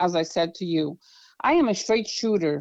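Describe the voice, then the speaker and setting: A woman with a Brazilian accent speaks over a quiet background. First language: Portuguese. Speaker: political candidate. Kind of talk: interview. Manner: halting.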